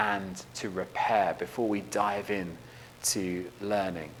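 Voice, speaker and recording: There is audible room echo as the speaker, in an English accent, talks at a fairly slow pace. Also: man. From England. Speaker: education leader, keynote speaker. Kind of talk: conference keynote.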